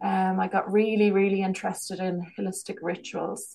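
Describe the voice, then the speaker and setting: A woman in a Kerry accent, with monotone, flat intonation. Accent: Irish, Kerry. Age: 40s. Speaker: business owner and holistic healer. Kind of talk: casual interview chat.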